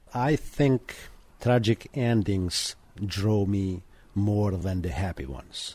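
A man speaks with an Albanian accent in a fairly low pitch. His tone is dark and mellow, with ordinary pitch variation. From Montenegro. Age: 50s. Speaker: janitor and university student. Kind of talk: radio interview. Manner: halting.

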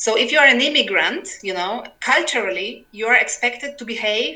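Speaking at a fairly quick pace with a Polish accent, a woman is heard through audible room echo and noticeable background noise. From Poland. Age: 40s. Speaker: novelist and literary translator. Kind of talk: interview. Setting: remote call over internet. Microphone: poor sound quality, overloaded internet.

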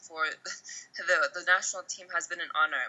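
A woman is speaking here. She has a Texas accent. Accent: American, Texas. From US (Oklahoma and Texas). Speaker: football coach and former national team captain. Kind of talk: interview.

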